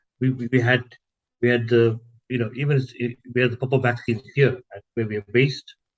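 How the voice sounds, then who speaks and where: In a dry, close recording with no echo, a man speaks at a fairly quick pace in a somewhat breathy, monotone voice with flat intonation, leaving long, frequent pauses. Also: medium pitch for a man. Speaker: health project coordinator. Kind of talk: interview answer. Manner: hesitant with filler words.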